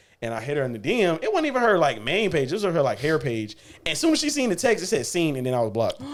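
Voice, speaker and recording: A man's fairly high, animated voice at a very fast pace, with very wide pitch swings and noticeable background noise. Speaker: podcast host. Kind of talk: casual chat.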